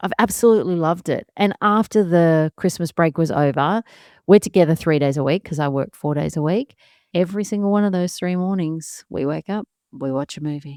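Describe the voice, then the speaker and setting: In an Australian accent, the speaker talks at a fairly quick pace with a calm, relaxed tone and ordinary pitch variation, in a dry, close sound with no echo. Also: woman, fairly low pitch for a woman. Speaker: podcast host, solo mum. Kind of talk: casual podcast talk.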